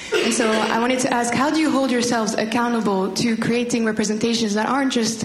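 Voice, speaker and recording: A woman's high-pitched voice at a fairly quick pace and very even loudness, with noticeable background noise and audible room echo. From Rwanda. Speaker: master's student. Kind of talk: audience question.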